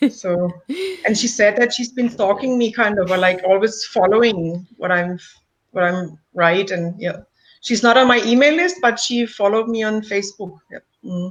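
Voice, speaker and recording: The speaker has a German accent and talks at a moderate pace. Pitch varies in an ordinary way. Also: woman, fairly high pitch for a woman. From Germany. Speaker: coach, client of the host. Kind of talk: client testimonial interview. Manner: halting.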